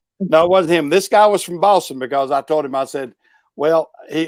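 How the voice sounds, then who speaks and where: Recorded very cleanly against a silent background, a man with a Southern US accent and a fairly high pitch sounds dry and close with no echo. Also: ordinary pitch variation, moderate pace. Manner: hesitant, frequent fillers.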